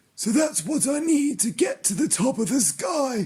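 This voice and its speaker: A raspy, put-on character voice sits at a high pitch. It moves along at a moderate pace. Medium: read story. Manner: earnest, wondering.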